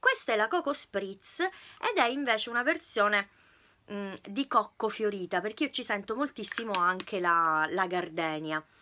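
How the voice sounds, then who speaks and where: With lively intonation and a bright, sharp tone, a woman talks at a fairly slow pace. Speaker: beauty YouTuber. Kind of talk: product review vlog. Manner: loud. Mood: cheerful, enthusiastic. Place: home room. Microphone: phone near.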